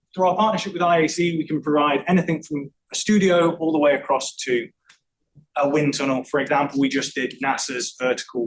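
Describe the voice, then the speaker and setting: Ordinary pitch variation marks this man's speech in an English accent. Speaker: acoustical engineer presenting a talk. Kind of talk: technical presentation. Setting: room with live audience. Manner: fast; talkative, chatty.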